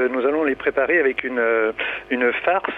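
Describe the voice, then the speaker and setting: Noticeable background noise sits under a man's fairly high voice with ordinary pitch variation. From Berry, France. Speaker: caller. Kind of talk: phone-in call. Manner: halting.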